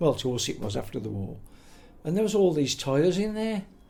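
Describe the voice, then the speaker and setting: This man has a dark, mellow tone. He speaks at a moderate pace with very wide pitch swings. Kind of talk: interview answer, oral history reminiscence. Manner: casual, conversational.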